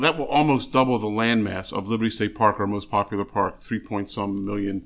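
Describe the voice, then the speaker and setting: With an American accent, a man speaks in an unremarkable speaking voice, fairly low in pitch, fairly quick, and with fairly even intonation. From Philadelphia area, US. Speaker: state environmental agency official. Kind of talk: interview.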